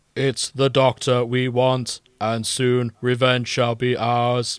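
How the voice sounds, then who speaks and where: A man's put-on, robotic character voice at medium pitch, monotone and flat, delivered at a very slow pace. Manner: robotic, monotone.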